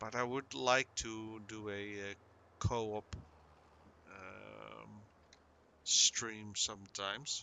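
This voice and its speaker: A man with a Dutch accent and a fairly low voice speaks very slowly, with long, frequent pauses. His intonation stays fairly even while his loudness swings widely. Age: 50s. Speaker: gaming streamer. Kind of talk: casual chat. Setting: live stream. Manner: halting; soft-spoken.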